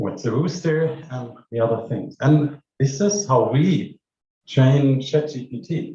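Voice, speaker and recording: Somewhat breathy, a man speaks at a fairly high pitch with ordinary pitch variation. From Germany. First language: German. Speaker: AI researcher. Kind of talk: conference keynote. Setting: stage with audience.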